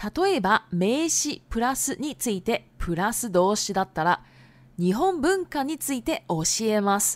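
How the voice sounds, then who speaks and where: Very wide pitch swings fill a woman's speech at a fairly slow pace, the sound dry and close with no echo. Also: fairly high pitch for a woman. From Japan. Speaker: Japanese language teacher podcaster. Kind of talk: bilingual teaching podcast. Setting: home recording.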